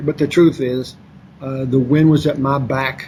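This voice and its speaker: A man speaks with a Kentucky accent at a fairly high pitch. Intonation is fairly even, over noticeable background noise. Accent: Kentucky Southern US. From Kentucky, Lexington. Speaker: author and former financier. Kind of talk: interview.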